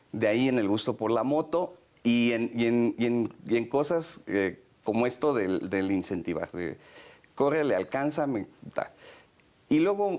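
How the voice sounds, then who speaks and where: A man talks at a fairly slow pace. His intonation is lively. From Mexico, San Luis Potosí. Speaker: federal police commissioner. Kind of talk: interview. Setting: office. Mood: warm, reminiscing, smiling. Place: office. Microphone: lapel.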